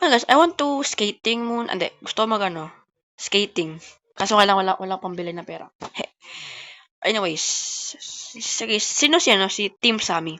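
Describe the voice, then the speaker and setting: Her pitch medium, a woman speaks with very wide pitch swings and big swings in loudness. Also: moderate pace. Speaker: gaming YouTuber. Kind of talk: gameplay commentary.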